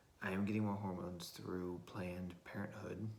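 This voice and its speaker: A man with an American accent speaks at a very deep, low pitch with fairly even intonation. Audible room echo surrounds the recording. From Florida, US South. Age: 20s. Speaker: vlogger. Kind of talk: casual video diary monologue. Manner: halting, many fillers.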